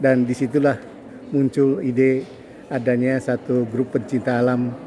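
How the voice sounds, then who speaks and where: Over noticeable background noise, the voice moves at a fairly slow pace with monotone, flat intonation. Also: man, medium pitch for a man. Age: 70s. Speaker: retired professional reminiscing with old friend. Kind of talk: casual interview chat. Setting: Masjid al-Haram, Mecca.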